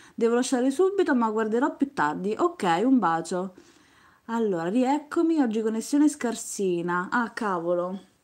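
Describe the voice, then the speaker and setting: A woman speaks at a fairly slow pace in a fairly high voice, her pitch swinging very widely. The background is quiet. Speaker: craft youtuber. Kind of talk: live stream beading tutorial. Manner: chatty, talks nonstop. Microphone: phone near.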